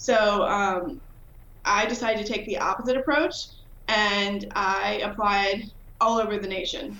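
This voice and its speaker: With an American accent, a woman of medium pitch speaks at a fairly slow pace with ordinary pitch variation, heard with audible room echo. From Virginia. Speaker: professor of pharmacology, hearing researcher. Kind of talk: interview.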